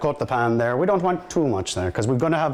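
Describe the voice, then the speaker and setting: The speaker talks very fast in an Irish accent, with very wide pitch swings. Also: man. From Ireland, County Cork. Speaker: firefighter. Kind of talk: cooking demonstration. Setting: fire station kitchen. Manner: hesitant, with fillers.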